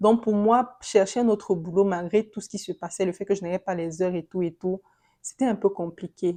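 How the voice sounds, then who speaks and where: A woman's medium-pitched voice carries a dark, mellow tone and fairly even intonation. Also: quiet background. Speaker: vlogger sharing immigration experience. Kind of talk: casual vlog monologue. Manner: halting.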